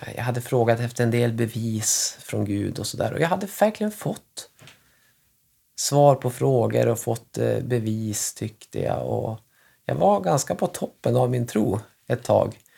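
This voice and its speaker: The recording is very clean, the background silent. A man speaks fairly slowly. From northern Sweden, Västernorrland. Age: 30s. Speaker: family doctor. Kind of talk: casual chat. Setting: at home.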